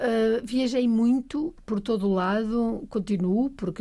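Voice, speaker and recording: A woman's voice with a dark, mellow tone. It is somewhat breathy. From Portugal, Trás-os-Montes (Bragança). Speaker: science centre agency president. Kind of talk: casual chat.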